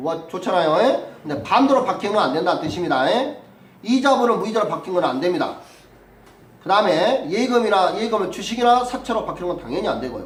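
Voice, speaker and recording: A man's high-pitched, very fast speech with very wide pitch swings, amid noticeable background noise and audible room echo. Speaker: civil law lecturer for real estate agent exam. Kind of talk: lecture.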